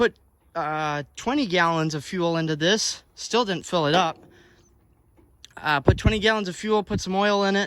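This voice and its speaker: Here a man with a high pitch and ordinary pitch variation talks at a moderate pace, leaving long, frequent pauses. The recording is very clean, with a silent background. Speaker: farmer and farm vlogger. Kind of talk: casual vlog narration. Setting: outdoors on a farm field. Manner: loud.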